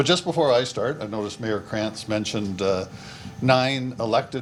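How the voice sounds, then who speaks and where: Through noticeable background noise, a man talks at a fairly low pitch with ordinary pitch variation. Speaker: police chief. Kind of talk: speech at event. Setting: podium at press event. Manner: soft-spoken.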